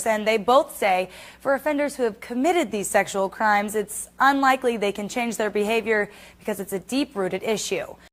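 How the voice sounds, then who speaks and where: Fairly quick speech from a woman in an ordinary speaking voice, fairly high in pitch with ordinary pitch variation, on a very clean recording with a silent background. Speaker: television news reporter. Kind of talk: TV news reporter narration.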